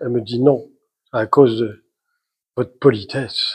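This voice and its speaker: Somewhat breathy and medium in pitch, a man's voice keeps fairly even intonation at a moderate pace. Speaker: writer and journalist. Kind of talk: author talk to an audience. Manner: hesitant, many fillers.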